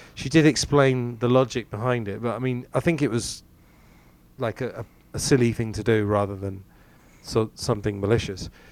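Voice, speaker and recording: Speaking at a moderate pace in a medium pitch with ordinary pitch variation, a man has a plain, everyday voice on a very clean recording with a silent background. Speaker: podcast host, English teacher. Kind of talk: casual chat.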